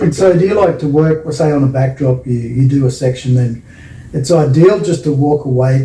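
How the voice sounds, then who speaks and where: Male speaker with a plain, everyday voice, fairly high in register, at a moderate tempo and with ordinary pitch movement. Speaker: interviewer. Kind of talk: interview questions.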